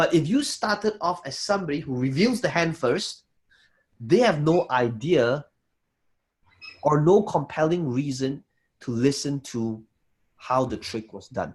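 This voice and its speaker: A man's somewhat breathy voice, lively intonation, long and frequent pauses. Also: fairly high pitch for a man, fairly slow pace. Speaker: business coach. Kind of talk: online workshop lecture. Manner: slow.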